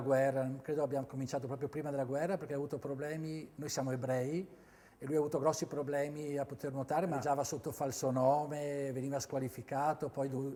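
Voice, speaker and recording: A man talks very fast in a dark, mellow tone. His pitch is fairly high and his intonation fairly even. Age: 60s. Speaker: former swimmer and swimming coach. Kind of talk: interview testimony. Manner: halting, with frequent fillers and repetitions.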